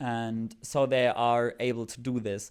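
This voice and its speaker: A man with a German accent speaks in a very clean recording with a silent background. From Germany. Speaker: fan video creator. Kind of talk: casual vlog commentary. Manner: hesitant, many filler words.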